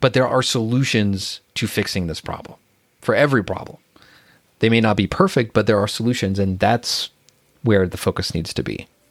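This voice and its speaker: Over a very clean recording with a silent background, a man with an American accent uses a plain, everyday voice at medium pitch, moderate pace and ordinary pitch variation. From rural US. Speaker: pharmacist and career coach. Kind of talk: casual chat.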